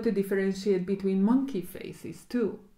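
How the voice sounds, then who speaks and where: Speaking with a Hungarian accent, a woman keeps a fairly quick pace in a dark, mellow tone. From Hungary. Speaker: cognitive psychologist. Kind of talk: casual chat. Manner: halting.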